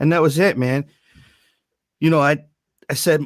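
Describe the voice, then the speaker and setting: A man with an American accent talks at a very fast pace, his pitch fairly high. The recording is very clean, with a silent background. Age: 40s. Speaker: music producer. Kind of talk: casual interview chat. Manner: animated, profane storytelling.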